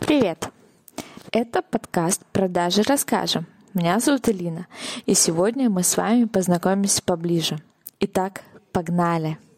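A woman at a moderate pace, with long, frequent pauses, very even loudness, ordinary pitch variation, and a dry, close sound with no echo. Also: medium pitch for a woman. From Saint Petersburg, Russia. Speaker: podcast host, sales funnel expert. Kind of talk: personal introduction monologue.

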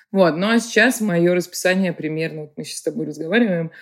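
On a very clean recording with a silent background, a woman talks in a fairly low voice with ordinary pitch variation. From Russia, Saint Petersburg. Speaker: creative director and artist. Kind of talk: interview conversation. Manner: animated.

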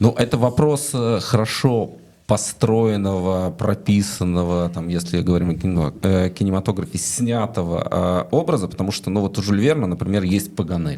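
A man speaks at a moderate pace in an unremarkable speaking voice. He has a fairly low pitch with ordinary pitch variation. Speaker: interviewer host. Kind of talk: interview conversation. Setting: studio.

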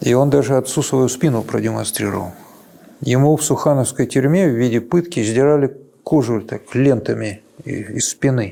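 With vocal fry and a dark, mellow tone, a man speaks at a moderate pace. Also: medium pitch for a man, ordinary pitch variation. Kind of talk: interview recollection.

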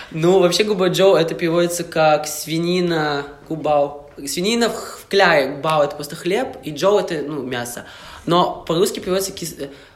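Through noticeable background noise and room echo, a man with a high voice talks at a moderate pace with ordinary pitch variation. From Russian Far East, Vladivostok. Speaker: university student. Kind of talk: casual chat.

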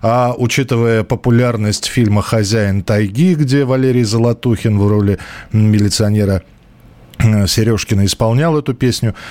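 The man's voice is medium-pitched with a dark, mellow tone, very even loudness, ordinary pitch variation and a moderate pace. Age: 40s. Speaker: radio host. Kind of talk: live call-in radio show. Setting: radio studio. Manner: conversational, hesitant fillers.

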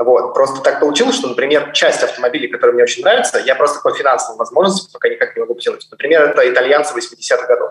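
A man's very fast speech, with hardly any pauses. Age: 20s. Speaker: fund manager. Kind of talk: casual chat. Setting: video call.

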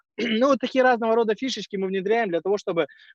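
A man is heard against a quiet background, with a dry, close sound and no echo. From Kazakhstan. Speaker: social entrepreneur. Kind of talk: conference talk.

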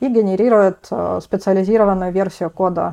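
Pitched at a medium level, a woman speaks with ordinary pitch variation. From Russia, Rostov-on-Don. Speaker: PhD student in programming languages. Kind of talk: technical interview. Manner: hesitant fillers.

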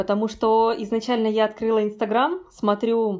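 A woman's dark, mellow tone at a fairly high pitch and a fairly slow pace. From Kazakhstan. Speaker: emigrant photographer. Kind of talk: casual interview. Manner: animated.

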